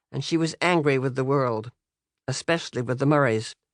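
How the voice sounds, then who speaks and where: Against a quiet background, a woman with an American accent talks at a moderate pace in a dry, close sound with no echo. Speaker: author. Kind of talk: audiobook reading.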